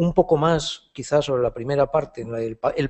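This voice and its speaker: The man's fairly high pitch moves with ordinary variation. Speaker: philosophy professor and essayist. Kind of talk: Q&A answer after a lecture. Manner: halting, many fillers and repetitions.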